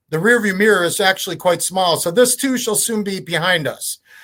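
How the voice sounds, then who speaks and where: A man's high-pitched, animated voice with ordinary pitch variation. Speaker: chiropractor and webinar presenter. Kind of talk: webinar lecture. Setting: online webinar. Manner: fast.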